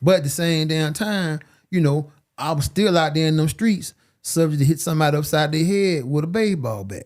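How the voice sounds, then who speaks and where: Ordinary pitch variation at a fairly quick pace on a very clean recording with a silent background. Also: man, fairly high pitch for a man. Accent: American. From Alabama, US South. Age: 50s. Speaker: boxing podcast co-host. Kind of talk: casual chat. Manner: animated.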